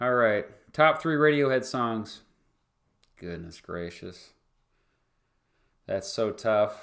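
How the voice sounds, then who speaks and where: In a very clean recording with a silent background, a man with a Kansas accent speaks at a medium pitch and very slow pace, with lively intonation, big swings in loudness, and long, frequent pauses. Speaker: history YouTuber and former teacher. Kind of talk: livestream Q&A. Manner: casual, halting with fillers. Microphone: new microphone.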